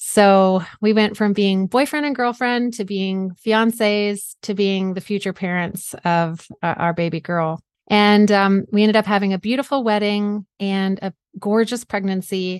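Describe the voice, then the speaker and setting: A woman with an American accent speaks in an ordinary speaking voice at a medium pitch and a fairly slow pace, with fairly even intonation and hardly any pauses, the sound dry and close with no echo over a quiet background. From US South (South Georgia). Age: 40s. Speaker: author and mindset coach, cancer survivor. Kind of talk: interview.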